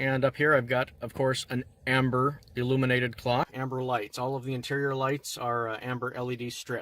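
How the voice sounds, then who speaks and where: A man with a Canadian accent at medium pitch, monotone and flat, with hardly any pauses and noticeable background noise. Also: fairly quick pace. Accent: sounds Canadian. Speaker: movie car replica owner. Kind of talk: casual walkaround tour to camera. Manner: casual, uses filler words like so and actually.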